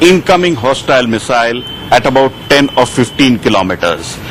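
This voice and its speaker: Lively intonation from a man at medium pitch, moderately paced, with noticeable background noise. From India. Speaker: science editor, TV reporter. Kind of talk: TV news live interview answer.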